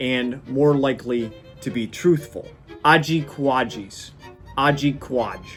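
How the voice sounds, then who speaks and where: A man with an American accent talks at a very slow pace in a fairly high pitch. His intonation is fairly even, and music plays in the background. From US Midwest. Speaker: YouTube history presenter. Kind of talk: casual educational talk to camera. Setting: studio.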